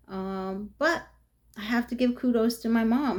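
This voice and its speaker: A woman's fairly high-pitched, animated voice in a New York accent, at a fairly slow pace. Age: 50s. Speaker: vlogger. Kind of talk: casual monologue. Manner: animated, chatty with many fillers.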